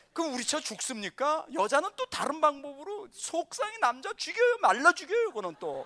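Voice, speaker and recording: Raised and projected, the voice has an animated tone that is bright and sharp. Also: man. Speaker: pastor. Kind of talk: lecture.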